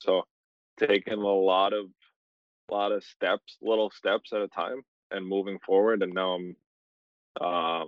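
In a dry, close sound with no echo, a man speaks at a low pitch and a fairly slow pace, with little pitch movement and long, frequent pauses.

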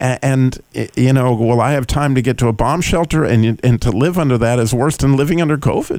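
This man has an ordinary speaking voice with ordinary pitch variation, talking at a fairly quick pace with hardly any pauses and very even loudness. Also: medium pitch for a man. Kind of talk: interview. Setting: radio studio. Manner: warm, laughs often.

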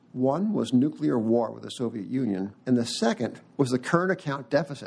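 A man at a medium pitch with vocal fry, lively intonation and big swings in loudness, talking at a fairly quick pace with hardly any pauses. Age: old. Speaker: podcast host, financial newsletter editor. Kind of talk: casual chat. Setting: studio.

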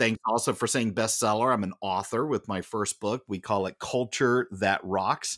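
Recorded very clean with a silent background and a dry, close sound with no echo, a man talks at a moderate pace with a fairly low pitch. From United States. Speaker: corporate culture speaker and author. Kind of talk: casual interview. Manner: animated.

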